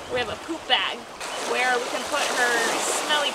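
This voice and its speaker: Moderate pace under loud background noise. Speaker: travel vlogger. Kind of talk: casual vlog chat. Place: beach.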